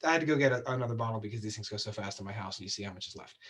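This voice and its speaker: Somewhat breathy, a man speaks at a medium pitch and a very fast pace. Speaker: cocktail show host. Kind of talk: tutorial.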